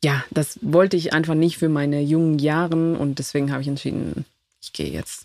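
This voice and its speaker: A woman's very deep, low voice at a fairly quick pace, with big swings in loudness and fairly even intonation. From Ecuador (Quito). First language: Spanish (speaking German). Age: 30s. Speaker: immigrant guest. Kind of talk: casual interview. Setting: camper van.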